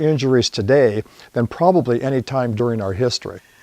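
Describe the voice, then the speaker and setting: A plain, everyday voice from a man at a medium pitch and moderate pace, with ordinary pitch variation. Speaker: posture system founder. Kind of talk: infomercial interview answer.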